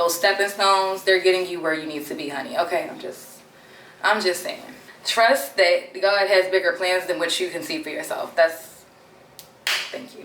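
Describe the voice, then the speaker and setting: Over noticeable background noise, a woman at a medium pitch speaks with lively intonation and big swings in loudness. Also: moderate pace. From Maryland, Baltimore. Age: 20s. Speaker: beauty content creator. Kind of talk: casual chat get-ready-with-me vlog. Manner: animated.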